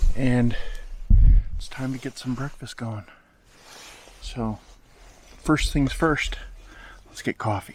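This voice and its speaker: A quiet man speaks at a very slow pace, with long, frequent pauses. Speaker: hiking vlogger. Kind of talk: casual vlog to camera. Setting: in a tent; outdoors, campsite.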